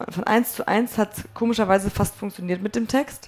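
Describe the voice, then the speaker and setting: A woman's normal speaking voice, medium in pitch, with ordinary pitch variation. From northern Germany (North Frisia). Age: 20s. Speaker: musician. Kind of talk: casual chat. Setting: stage with audience.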